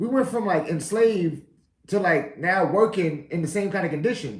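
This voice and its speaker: The voice carries ordinary pitch variation, with audible echo from the room. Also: man. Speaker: podcast host. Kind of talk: casual monologue.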